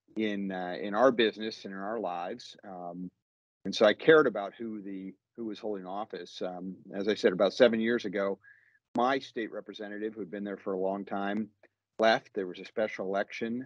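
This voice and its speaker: Against a quiet background with a dry sound and no echo, a man with a plain, everyday voice speaks at a fairly low pitch, a fairly quick pace and with fairly even intonation. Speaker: guest. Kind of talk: interview answer. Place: office. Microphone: video call.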